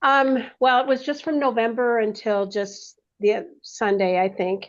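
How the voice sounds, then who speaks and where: A woman with an unremarkable speaking voice talks at a moderate pace in a fairly high pitch, her intonation fairly even against a quiet background. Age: 60s. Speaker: health coaching client. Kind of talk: casual chat.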